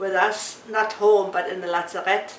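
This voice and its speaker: A woman with a German accent speaks at a moderate pace and medium pitch, with noticeable background noise and audible room echo. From Danzig, Free State of Danzig. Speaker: war survivor. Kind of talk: testimony. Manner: halting.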